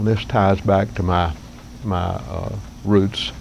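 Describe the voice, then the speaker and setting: In a Southern accent, a man speaks with a very deep, low pitch and ordinary pitch variation. Noticeable background noise runs behind him. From US South, northeast Alabama. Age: 60s. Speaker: vlogger. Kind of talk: casual vlog monologue. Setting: outdoors under cabin porch roof. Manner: halting.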